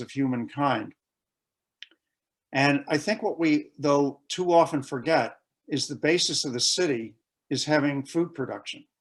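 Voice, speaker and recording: A man with an American accent speaks in a normal speaking voice at a moderate pace, his pitch fairly high and his pitch variation ordinary, against a quiet background. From United States. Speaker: conference presenter on military history. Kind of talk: conference presentation.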